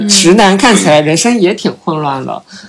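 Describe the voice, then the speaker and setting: This man speaks in a high pitch. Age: 20s. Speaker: finance professional. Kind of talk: casual chat.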